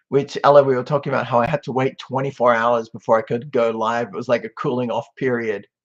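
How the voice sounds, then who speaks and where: A man with an Australian accent at medium pitch, very fast pace with hardly any pauses, and fairly even intonation. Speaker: social media commentator. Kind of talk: casual live-stream chat. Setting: webcam live stream. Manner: laid back.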